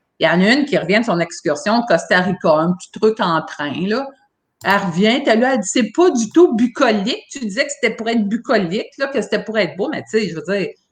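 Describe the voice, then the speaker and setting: A woman with a Quebec accent speaks fairly quickly in a somewhat breathy voice, her pitch swinging very widely. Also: fairly high pitch for a woman. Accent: Québécois French. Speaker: former cruise ship crew member. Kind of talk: casual chat. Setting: livestream.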